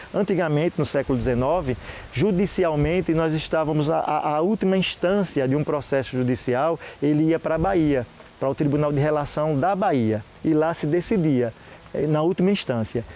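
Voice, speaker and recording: Over noticeable background noise, a man with a fairly high pitch speaks at a moderate pace, his loudness very even and his pitch varying in an ordinary way. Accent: Sergipe. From Sergipe, Brazil. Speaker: historian. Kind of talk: interview. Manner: halting.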